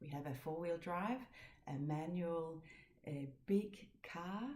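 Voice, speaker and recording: With audible room echo, a woman speaks in a fairly low pitch, her tone dark, mellow and somewhat breathy. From Denmark. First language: Danish. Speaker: knitting podcaster. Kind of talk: casual chat. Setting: home. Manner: halting.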